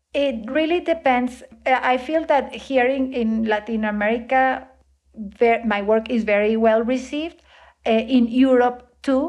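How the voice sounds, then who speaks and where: With a Spanish accent, a woman talks at a fairly slow pace in a high pitch with ordinary pitch variation against a quiet background. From Colombia. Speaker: composer and sound artist. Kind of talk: interview. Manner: halting, many fillers.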